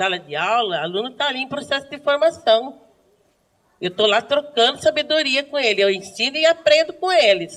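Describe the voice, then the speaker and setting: High-pitched, a woman talks at a moderate pace with very wide pitch swings. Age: 60s. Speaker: schoolteacher. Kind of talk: group discussion. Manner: animated.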